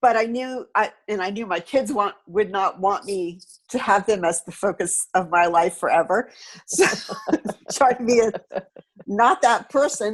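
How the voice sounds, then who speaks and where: A woman's medium-pitched voice, an ordinary speaking voice, at a fairly slow pace with ordinary pitch variation. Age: 60s. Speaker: painter and sculptor. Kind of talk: interview. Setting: video call.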